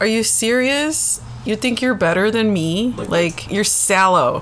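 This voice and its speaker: A woman speaks at a fairly slow pace. Her intonation is lively despite noticeable background noise. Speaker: podcast co-host. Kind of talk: casual banter.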